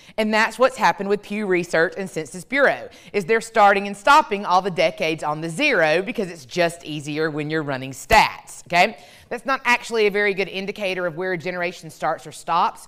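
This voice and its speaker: Loud and at a fairly quick pace, a woman speaks in a very clean recording with a silent background. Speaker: professor and keynote speaker. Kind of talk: keynote talk to a live audience. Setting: stage with audience. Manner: fast.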